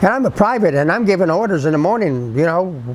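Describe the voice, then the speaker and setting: A man at fairly high pitch with very wide pitch swings and a fairly quick pace, over noticeable background noise. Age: 80s+. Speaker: WWII army veteran. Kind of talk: interview answer.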